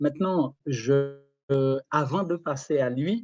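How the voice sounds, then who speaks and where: A man's fairly high voice, dark and mellow in tone, with fairly even intonation and a dry, close sound with no echo. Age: 60s. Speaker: retired property investor. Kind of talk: casual chat. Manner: halting.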